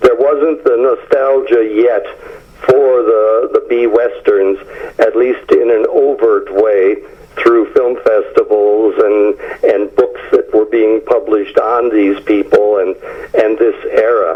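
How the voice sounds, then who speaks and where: Against noticeable background noise, a man speaks very slowly at a very even loudness. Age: 70s. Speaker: author, film historian. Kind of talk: interview. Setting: phone call. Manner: hesitant with frequent fillers.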